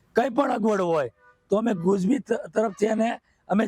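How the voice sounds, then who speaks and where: A high-pitched man's voice in a dry, close sound with no echo. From Saurashtra, Gujarat (Mahuva, Bhavnagar). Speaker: beekeeper and farmer. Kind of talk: interview.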